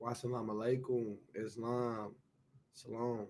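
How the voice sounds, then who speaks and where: A man's medium-pitched voice in a monotone, flat delivery. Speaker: online show host. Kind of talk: casual monologue. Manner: casual, halting with fillers.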